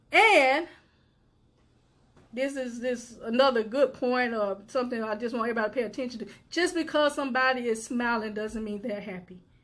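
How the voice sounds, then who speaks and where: A loud, animated woman's voice, high in pitch, at a fairly quick pace with ordinary pitch variation. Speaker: suicide prevention advocate and live show host. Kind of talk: motivational talk.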